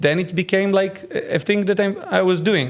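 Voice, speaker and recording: A man is speaking. He has an Israeli accent. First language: Hebrew. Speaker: AI filmmaker. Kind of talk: casual interview. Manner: halting.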